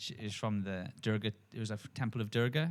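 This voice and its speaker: Fairly even intonation from a male speaker, moderate in pace. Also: very clean recording, silent background. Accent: strong South Wales. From Wales, Port Talbot/Swansea area. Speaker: podcast co-host, yogi. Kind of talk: casual spiritual discussion. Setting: studio, filmed podcast. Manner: slurred words.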